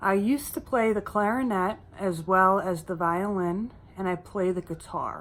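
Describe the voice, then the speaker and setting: With ordinary pitch variation, an ordinary speaking voice unfolds at a fairly slow pace. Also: woman. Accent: American. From US East Coast, mainly Philadelphia area. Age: 20s. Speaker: YouTuber. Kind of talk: Q&A vlog, casual. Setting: home, sitting by a windowsill.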